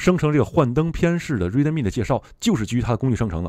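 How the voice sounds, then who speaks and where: At a very fast pace, the voice makes very wide pitch swings in a very clean recording with a silent background. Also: man. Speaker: tech video creator. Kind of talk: tutorial. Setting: screen-recorded video. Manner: friendly, conversational.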